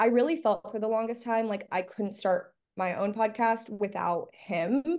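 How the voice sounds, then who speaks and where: A woman with an American accent speaks in a normal speaking voice at a fairly high pitch. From Miami, Florida. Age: 20s. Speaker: college student and podcaster. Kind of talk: casual chat.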